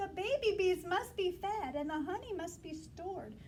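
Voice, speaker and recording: In a put-on character voice, a woman squeaks at an extremely high pitch with ordinary pitch variation and a moderate pace. Background noise is clear. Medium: read story.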